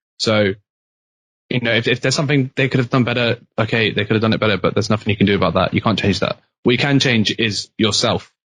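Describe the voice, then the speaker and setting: In a British accent, a man talks very fast at a medium pitch with fairly even intonation. The sound is dry and close, without echo. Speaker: university student. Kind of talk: casual chat. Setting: podcast.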